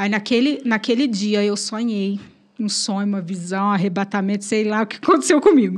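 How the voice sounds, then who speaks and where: Her voice is somewhat breathy, with ordinary pitch variation and a moderate pace. The woman is heard against a quiet background. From Brazil, São Paulo state countryside. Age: 30s. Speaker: church evangelist. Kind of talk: testimony.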